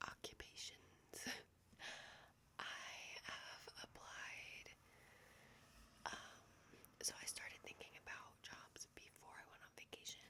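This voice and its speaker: Very slowly, a woman whispers. Long, frequent pauses break up her words. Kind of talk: ASMR whisper ramble, life update. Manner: whispered.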